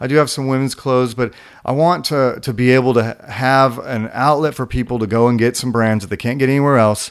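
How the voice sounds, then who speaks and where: This man has a plain, everyday voice with an American accent. He speaks at a medium pitch and fairly quick pace with fairly even intonation. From California. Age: 40s. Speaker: skate shop owner. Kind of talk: interview. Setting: studio.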